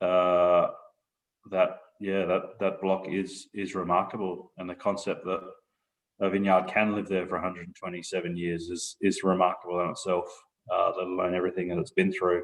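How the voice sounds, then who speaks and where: In an Australian accent, a man with a very deep, low pitch speaks at a moderate pace in a monotone, flat way over a quiet background. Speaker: winery proprietor. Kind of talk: casual interview.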